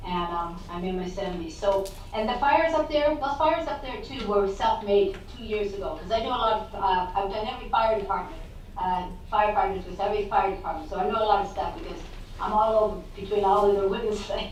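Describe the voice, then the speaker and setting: Over noticeable background noise and audible room echo, a woman with a fairly high pitch talks at a very fast pace with lively intonation. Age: 70s. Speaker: public testifier. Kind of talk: public testimony. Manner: halting.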